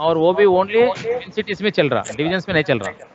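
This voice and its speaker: Noticeable background noise sits behind this man. His pitch is high, with ordinary pitch variation. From South India. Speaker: official language officer and trainer. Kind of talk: lecture. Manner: halting, mixes English into Hindi.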